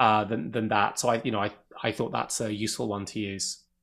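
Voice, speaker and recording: A man talks at a fairly quick pace. The recording is very clean, and the background is silent. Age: 50s. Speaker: author and tech investor. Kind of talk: interview. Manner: halting, many repeated words.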